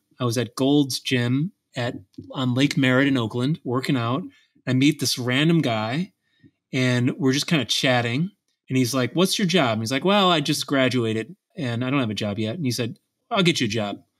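A man with a plain, everyday voice talks at a moderate pace in a medium pitch with ordinary pitch variation, on a very clean recording with a silent background. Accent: American. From Buffalo, New York. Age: 40s. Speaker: tech company co-founder and psychologist. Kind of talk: interview.

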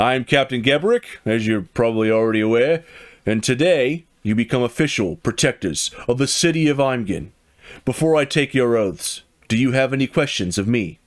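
A man puts on a gruff, gravelly character voice at medium pitch, speaking at a moderate pace with lively intonation and very even loudness on a very clean recording with a silent background. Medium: solo performance. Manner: commanding.

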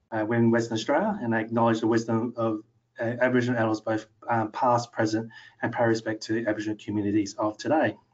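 A man rattles along at a very fast pace with very even loudness and monotone, flat intonation. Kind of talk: lecture. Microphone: webcam.

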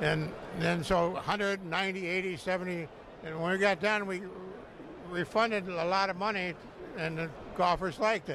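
A man with a Michigan accent talks at a fairly slow pace with long, frequent pauses, using a high pitch and fairly even intonation, in a dry recording with no echo and noticeable background noise. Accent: Midwestern American (Michigan). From southeast Michigan, Pontiac. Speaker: golf course owner. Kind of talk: interview. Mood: warm, proud. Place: studio. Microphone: handheld.

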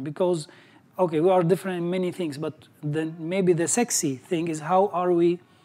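High pitch for a man, a dark, mellow tone, an Arabic accent and a moderate pace from a male speaker. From Syria. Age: 40s. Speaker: graduate and entrepreneur. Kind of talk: personal success story talk. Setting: stage with audience. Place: home room. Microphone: lapel.

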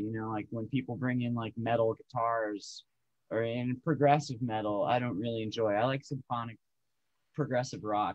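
The man's intonation stays fairly even, and the background is quiet. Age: 40s. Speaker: musician. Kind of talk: casual chat. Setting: video call. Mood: relaxed, opinionated. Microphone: video call.

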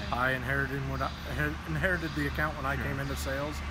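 A man's voice in a dry sound with no echo, under loud background noise. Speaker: farm equipment salesman. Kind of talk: interview answer. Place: workshop. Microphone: phone near.

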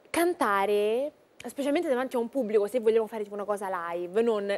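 A woman's fairly high voice at a fairly quick pace. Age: 20s. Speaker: singer and actress; guest singer-actress. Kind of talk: TV interview. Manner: halting. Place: studio.

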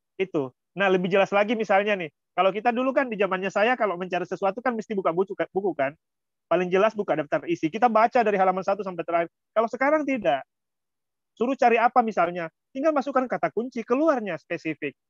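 Against a quiet background, a man with a high voice speaks very fast with lively intonation. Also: dry sound with no echo. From Indonesia, West Sulawesi (Pambusuang coast); West Sulawesi, Indonesia. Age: 30s. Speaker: lecturer and volunteer speaker; lecturer guest. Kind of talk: online talk, sharing experience. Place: home room. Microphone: phone instead of laptop, unstable Wi-Fi; video call.

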